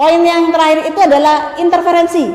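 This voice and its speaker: Audible room echo surrounds a woman speaking in an extremely high pitch with a Madurese accent. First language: Madurese (speaking Indonesian). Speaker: university lecturer. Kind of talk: lecture.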